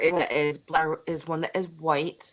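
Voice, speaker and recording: A woman is speaking. She has a New York accent. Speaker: online vintage seller. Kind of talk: live sale chat.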